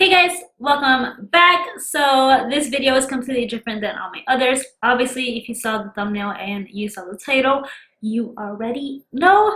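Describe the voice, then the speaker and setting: The voice is raised and projected, with lively intonation, a bright, sharp tone, and big swings in loudness. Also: woman, high pitch for a woman, moderate pace. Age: 20s. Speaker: beauty and lifestyle vlogger. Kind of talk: personal vlog announcement.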